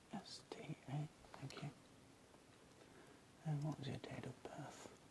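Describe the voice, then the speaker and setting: Whispering at a fairly slow pace. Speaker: ASMR artist. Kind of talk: ASMR roleplay, whispered booking agent call. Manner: whispered, soft-spoken.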